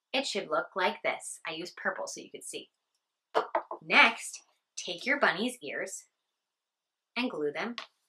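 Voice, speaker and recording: A woman's fairly slow speech, bright and sharp in tone, with lively intonation and big swings in loudness. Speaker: teacher. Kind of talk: craft tutorial for children. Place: office. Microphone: camera far.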